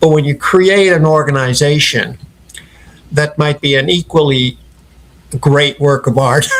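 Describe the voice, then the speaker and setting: Against noticeable background noise, a man with a fairly high pitch talks at a fairly slow pace, with long, frequent pauses, very even loudness and fairly even intonation. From Ireland (Dublin, family from Clare). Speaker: company founder. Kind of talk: interview.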